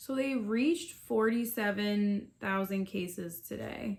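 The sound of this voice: The speaker has an American accent and vocal fry. The pace is slow, with ordinary pitch variation. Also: woman, medium pitch for a woman.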